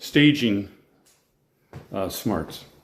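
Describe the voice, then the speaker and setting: A voice with vocal fry and an American accent. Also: man. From Colorado. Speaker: real estate video presenter. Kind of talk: casual walkthrough commentary. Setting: walking through a house for sale. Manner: casual, unscripted.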